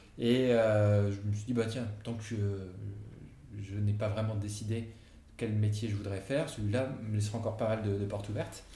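Against noticeable background noise and audible room echo, a man with a fairly low pitch talks in a monotone, flat way with long, frequent pauses. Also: moderate pace. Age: 40s. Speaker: entrepreneur, company co-founder. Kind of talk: casual interview conversation. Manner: hesitant, many fillers.

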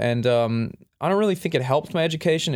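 Speaking with an Australian accent, a man moves at a fairly quick pace with lively intonation. The recording is very clean, with a silent background. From Western Australia, Perth. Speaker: animator and gaming video host. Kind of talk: interview.

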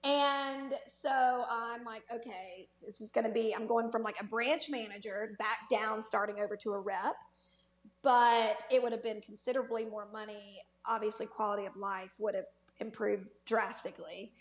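With a Southern US accent, a woman speaks at a moderate pace in a fairly high voice and fairly even intonation. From Mississippi Delta.

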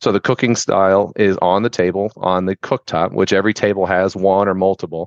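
In an American accent, a man speaks at a very deep, low pitch and a fairly quick pace, monotone and flat, with very even loudness. The sound is dry and close with no echo, over a quiet background. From Florida, Tampa. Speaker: restaurant franchise growth strategist. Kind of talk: interview.

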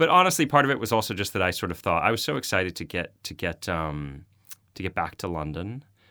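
In a Boston accent, a man talks at a fairly quick pace with lively intonation, his very deep, low pitch carrying a bright, sharp tone. The recording is very clean, with a silent background. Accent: American, Boston area. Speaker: nonfiction author and journalist. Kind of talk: interview.

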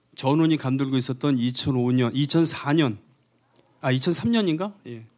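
Speaking at a very slow pace, the man has a fairly high pitch and ordinary pitch variation, recorded very cleanly against a silent background. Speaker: singer. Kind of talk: stage banter between songs. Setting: stage with audience. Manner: joking, self-deprecating.

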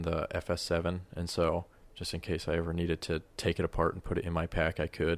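With an American accent, a man talks at a moderate pace in a very deep, low pitch on a very clean recording with a silent background. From US Colorado. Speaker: videographer and hunting camera operator. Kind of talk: casual chat.

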